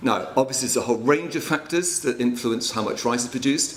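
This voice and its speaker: A man speaks with ordinary pitch variation, and noticeable background noise and audible room echo are in the recording. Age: 60s. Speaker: water and land management consultant. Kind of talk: conference presentation.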